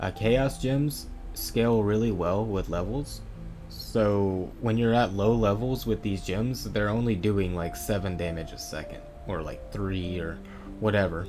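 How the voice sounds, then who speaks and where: With music in the background and audible room echo, a man talks at a fairly slow pace with ordinary pitch variation. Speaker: video game streamer / guide maker. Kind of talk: tutorial. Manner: hesitant, many fillers.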